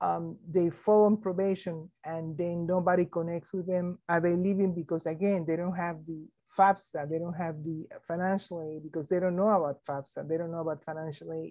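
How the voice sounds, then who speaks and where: Over a quiet background, a woman with a non-native accent speaks at a fairly low pitch in a dark, mellow tone. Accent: foreign accent, kept deliberately. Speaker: education administrator, keynote speaker. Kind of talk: keynote Q&A answers. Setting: conference keynote. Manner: hesitant with fillers.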